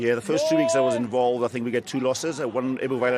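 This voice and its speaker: A man with a South African accent talks at a very fast pace in a medium-pitched voice. Noticeable background noise runs behind him. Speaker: rugby player. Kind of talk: post-match pitchside interview. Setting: pitchside at a rugby match.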